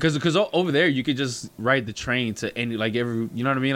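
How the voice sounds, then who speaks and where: A man with an ordinary speaking voice talks at a fairly quick pace, showing ordinary pitch variation. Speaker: recurring podcast guest. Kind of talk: casual chat.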